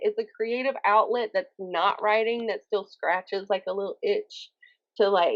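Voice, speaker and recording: A woman with an animated tone and lively intonation. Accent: Southern US. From US South, Alabama. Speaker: author, poet and YouTuber. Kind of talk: interview. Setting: podcast.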